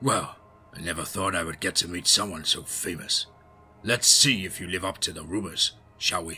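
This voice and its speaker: A man puts on a raspy character voice with a very deep, low pitch at a moderate pace. His loudness swings widely, and music plays in the background. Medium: read story. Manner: dry, confident.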